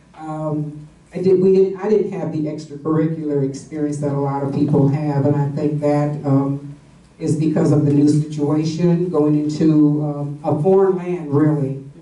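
In an American accent, a woman with a very deep, low pitch speaks with monotone, flat intonation amid audible room echo. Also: moderate pace. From West Virginia. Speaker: panelist. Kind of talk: panel discussion, personal recollection. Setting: stage with audience, microphone. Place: meeting room. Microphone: camera far.

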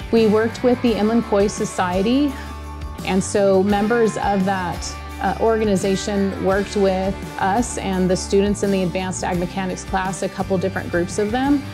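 Clear music plays in the background as a woman talks at a moderate pace. Her intonation stays fairly even. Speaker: agriculture mechanics teacher. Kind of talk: interview answer. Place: workshop.

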